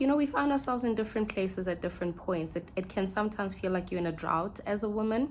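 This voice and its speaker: A woman is speaking. She has a South African accent. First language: Sesotho. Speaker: podcast host. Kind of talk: reflective monologue. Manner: halting.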